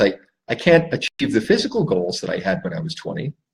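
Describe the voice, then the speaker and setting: This is a man's voice. It comes across somewhat breathy. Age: 60s. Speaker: life coach. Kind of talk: solo talk to camera. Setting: Facebook live stream.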